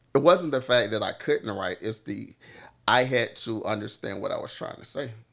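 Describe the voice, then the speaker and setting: The speaker has a Southern US accent and keeps a moderate pace. The loudness swings widely throughout. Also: man. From US South, Louisiana. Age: 40s. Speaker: singer-songwriter. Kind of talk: casual chat. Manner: halting.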